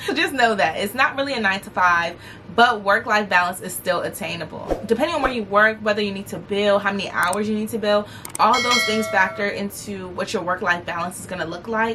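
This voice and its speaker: Over noticeable background noise, a woman talks fairly quickly in an animated tone, her medium pitch varying in an ordinary way. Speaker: lawyer and lifestyle vlogger. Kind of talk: casual advice vlog. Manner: fast.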